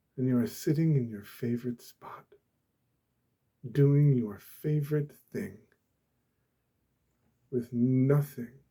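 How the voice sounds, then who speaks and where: Soft-spoken and calm, a man talks in a dark, mellow tone with ordinary pitch variation. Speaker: ASMR creator. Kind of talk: ASMR soft-spoken talk about peace. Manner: soft-spoken, calm.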